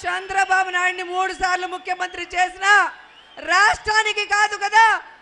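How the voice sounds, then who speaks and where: This woman's voice is extremely high in pitch, raised and projected. The tone is bright and sharp. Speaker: politician giving a campaign speech. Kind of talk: political rally speech. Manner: loud, rhetorical, crowd-addressing.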